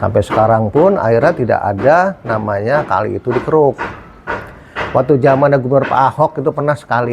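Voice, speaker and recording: A man at medium pitch talking at a fairly quick pace with lively intonation, over noticeable background noise. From Jakarta. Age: 60s. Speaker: local resident. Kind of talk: street interview.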